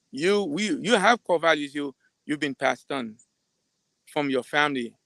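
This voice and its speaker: A man speaks in a fairly high voice with a bright, sharp tone. The sound is dry and close, with no echo. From Caribbean. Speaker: psychiatrist. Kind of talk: live talk. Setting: live stream. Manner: fast; halting, repeats words.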